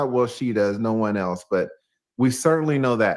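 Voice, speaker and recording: A man with a Southern US accent and lively intonation, in a very clean recording with a silent background. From US South, Atlanta, Georgia. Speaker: YouTuber. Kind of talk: casual chat on livestream.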